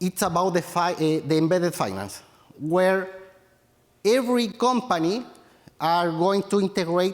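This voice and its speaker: This man has a Chilean accent and a high pitch. He talks at a fairly slow pace. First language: Spanish. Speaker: tech entrepreneur. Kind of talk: conference talk. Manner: halting, many fillers.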